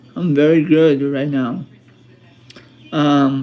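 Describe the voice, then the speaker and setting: A man speaks at a very slow pace. His pitch is fairly high and his intonation fairly even. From Colombia. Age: 30s. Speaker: YouTuber. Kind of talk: casual livestream talk to viewers. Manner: halting, many fillers and repetitions.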